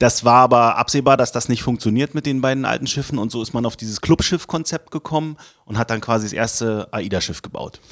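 Pitch variation stays ordinary as a man speaks at a very fast pace. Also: medium pitch for a man, dry, close sound with no echo. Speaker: city tourism marketing manager. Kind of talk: casual interview chat.

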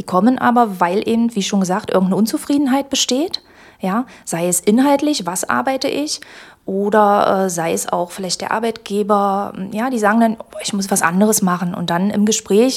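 A woman with an unremarkable speaking voice talks at a moderate pace, her fairly high pitch carried by lively intonation. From Magdeburg, eastern Germany. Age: 40s. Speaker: employment agency career adviser. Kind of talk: casual interview. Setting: studio.

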